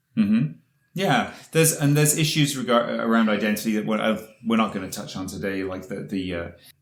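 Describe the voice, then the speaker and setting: Speaking very fast with a British accent, a man uses lively intonation in a fairly low pitch. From England. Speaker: podcast co-host. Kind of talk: casual chat.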